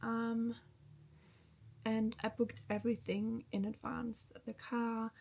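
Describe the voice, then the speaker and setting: The pitch varies in an ordinary way. The voice is somewhat breathy. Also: woman. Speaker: lifestyle vlogger. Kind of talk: casual vlog talk to camera. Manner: slow.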